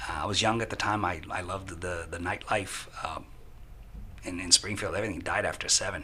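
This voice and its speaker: Delivered at a fairly quick pace with fairly even intonation, the speech has audible room echo and noticeable background noise. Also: man, very deep, low pitch for a man. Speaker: software consultant. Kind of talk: podcast interview.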